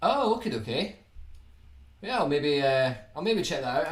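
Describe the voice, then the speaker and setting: Audible room echo and noticeable background noise accompany a man speaking with a Scottish accent. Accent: Scottish, toned down on streams. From Scotland, Edinburgh. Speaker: guitar YouTuber. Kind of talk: live stream chat answering viewer questions.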